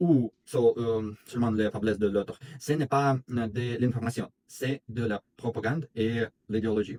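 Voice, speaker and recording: Speaking with a Russian accent, a man keeps to a fairly slow pace and fairly even intonation at a medium pitch in a dark, mellow tone. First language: Russian (speaking French). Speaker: video blogger. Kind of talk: commentary monologue. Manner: halting, many hesitations.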